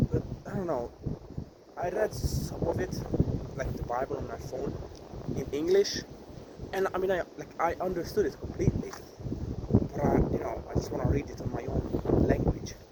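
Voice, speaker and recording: Noticeable background noise accompanies a man who leaves long, frequent pauses. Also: moderate pace. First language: Hungarian. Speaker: vlogger. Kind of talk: vlog monologue. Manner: halting.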